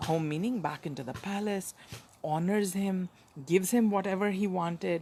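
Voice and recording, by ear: A voice reading aloud in a natural voice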